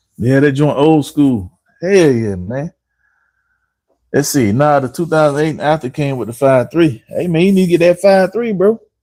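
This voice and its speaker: A man with a strong North Carolina accent talks at a moderate pace, his dark, mellow tone carrying lively intonation. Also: fairly high pitch for a man. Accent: heavy North Carolina. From North Carolina, Harnett County (Dunn). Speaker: car mechanic and livestreamer. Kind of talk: live stream chat. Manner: animated.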